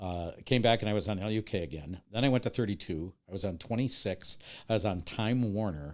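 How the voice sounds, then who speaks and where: A man with an American accent speaks at a fairly quick pace in an ordinary speaking voice, with a fairly low pitch and ordinary pitch variation. The recording is very clean, with a silent background. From US Midwest, Milwaukee, Wisconsin. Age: 60s. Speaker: TV horror host and video editor. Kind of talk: casual podcast interview.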